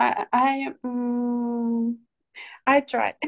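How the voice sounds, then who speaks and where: This woman speaks with a Ukrainian accent and a high-pitched voice. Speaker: psychologist. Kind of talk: self-introduction at online meeting. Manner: halting, many fillers.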